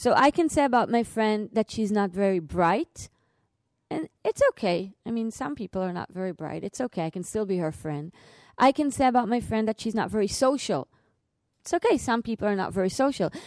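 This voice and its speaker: A woman with an Israeli accent speaks at a fairly quick pace, her fairly high pitch carried by lively intonation. The recording is very clean with a silent background, and the sound is dry and close with no echo. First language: Hebrew. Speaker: novelist and clinical psychologist. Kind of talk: public lecture. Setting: lecture hall with audience.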